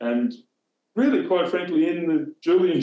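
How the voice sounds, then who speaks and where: A man speaks with an Australian accent in a dark, mellow tone. His lively intonation carries audible room echo. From southern Australia. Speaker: former newspaper editor; former newspaper editor, interview guest. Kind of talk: interview. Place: home room. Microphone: video call.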